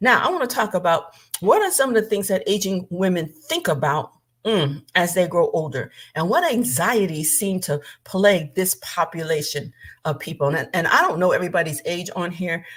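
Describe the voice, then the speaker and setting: Somewhat breathy woman's voice, medium pitch, ordinary pitch variation, animated tone, moderate pace. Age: 70s. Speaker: minister. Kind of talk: livestream talk.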